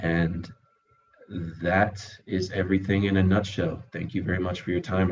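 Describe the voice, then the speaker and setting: A man with a very deep, low pitch and a somewhat breathy voice speaks at a moderate pace with monotone, flat intonation. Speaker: entrepreneur. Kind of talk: presentation and Q&A on a video call. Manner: halting, many fillers.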